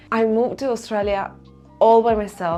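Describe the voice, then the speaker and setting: This woman talks with an Argentine accent. Her pace is fairly slow. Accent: non-native English, Argentine Spanish. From Argentina. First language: Spanish. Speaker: self-help vlogger. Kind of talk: personal vlog talk to camera.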